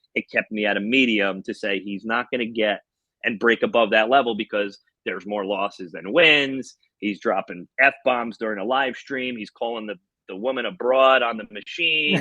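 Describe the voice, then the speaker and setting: Loud and bright, with a sharp tone, the voice moves at a fairly quick pace in an American accent, with a dry, close sound and no echo. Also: man. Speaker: slot machine YouTuber. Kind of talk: casual interview. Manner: animated.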